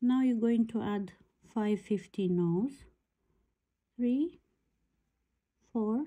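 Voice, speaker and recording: A woman speaks very slowly in a dark, mellow, somewhat breathy voice with fairly high pitch, ordinary pitch variation, and long, frequent pauses. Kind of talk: tutorial.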